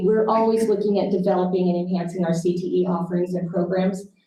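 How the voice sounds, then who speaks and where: The room gives off an audible echo. Words come at a fairly quick pace. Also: woman. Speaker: school district administrator. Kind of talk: board meeting presentation.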